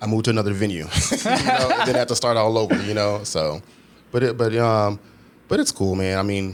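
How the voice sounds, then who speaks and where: The background noise is noticeable. A man with an American accent talks very fast at medium pitch. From Texas, Houston. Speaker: nightclub operations manager. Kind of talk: casual chat.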